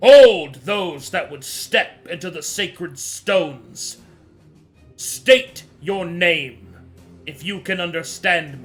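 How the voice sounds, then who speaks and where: A put-on character voice with lively intonation, a very slow pace, and faint music in the background. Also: man, high pitch for a man. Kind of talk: formal, archaic. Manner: commanding, authoritative.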